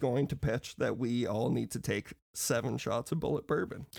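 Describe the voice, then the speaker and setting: Speaking at a fairly quick pace, a man talks with vocal fry. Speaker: podcast guest, movie fan. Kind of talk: casual chat. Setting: video call.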